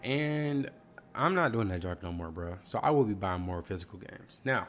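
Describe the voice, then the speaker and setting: This man, with a slight Southern US accent, talks at a fairly low pitch, his voice making very wide pitch swings and big swings in loudness. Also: moderate pace. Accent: slight Southern twang on certain words. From US South. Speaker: gaming YouTuber. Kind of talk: casual chat. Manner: casual, slangy.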